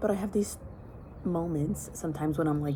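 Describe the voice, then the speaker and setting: A woman is speaking. Noticeable background noise and audible room echo fill the recording. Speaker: vlogger. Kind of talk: casual vlog monologue. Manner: soft-spoken.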